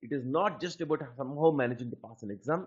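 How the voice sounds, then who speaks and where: Speaking at a moderate pace with a Telugu accent, a man uses lively intonation in a fairly high voice. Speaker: aptitude trainer. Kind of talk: lecture.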